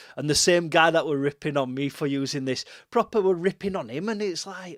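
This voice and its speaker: A man with a Yorkshire accent speaks at a moderate pace with lively intonation, recorded very cleanly against a silent background. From West Yorkshire. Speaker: music producer and livestreamer. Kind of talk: live stream tutorial chat. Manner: casual, filler-heavy.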